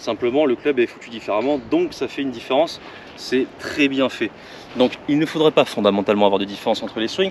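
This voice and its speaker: Against noticeable background noise, a man rushes along at a very fast pace, his medium pitch showing ordinary variation. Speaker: golf coach. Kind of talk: tutorial.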